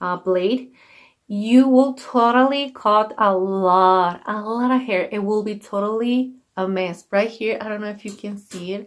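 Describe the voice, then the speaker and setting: On a very clean recording with a silent background, a woman of medium pitch speaks at a fairly slow pace with ordinary pitch variation. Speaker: beauty vlogger. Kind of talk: tutorial. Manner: halting.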